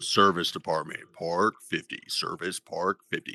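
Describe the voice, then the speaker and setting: This man puts on a character voice with a very deep, low pitch. He moves at a moderate pace, and the sound is dry and close with no echo. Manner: flat, clipped announcement.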